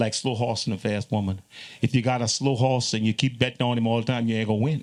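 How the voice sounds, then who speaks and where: In a Louisiana accent, a man talks at a very fast pace with medium pitch, monotone, flat intonation and very even loudness, on a very clean recording with a silent background. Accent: Louisiana Creole English. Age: 60s. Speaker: zydeco musician. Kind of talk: panel conversation.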